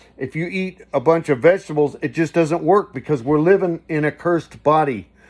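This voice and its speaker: A man with an American accent speaks at a fairly high pitch for a man, with ordinary pitch variation and a fairly quick pace. The recording is very clean, with a silent background. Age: 60s. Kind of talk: casual religious monologue. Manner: rambling, halting with restarts.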